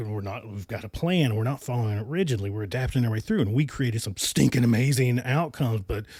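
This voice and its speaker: A man with an American accent talks at a medium pitch with ordinary pitch variation. His tone is animated. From US mountain region (Appalachia). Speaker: podcast host. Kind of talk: podcast monologue. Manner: loud.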